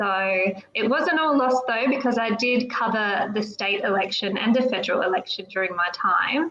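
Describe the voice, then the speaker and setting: In an Australian accent, a woman speaks at a moderate pace with a fairly high pitch and ordinary pitch variation. Noticeable background noise sits behind her. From South Australia, regional area. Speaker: political candidate. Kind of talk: podcast interview. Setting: live online show.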